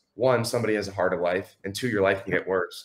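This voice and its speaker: A man speaks in an ordinary speaking voice. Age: 20s. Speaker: entrepreneur. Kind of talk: casual chat.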